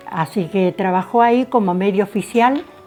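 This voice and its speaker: Over music in the background, a woman speaks at a moderate pace at a medium pitch with ordinary pitch variation. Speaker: interviewee recounting local family history. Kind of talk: casual interview answer.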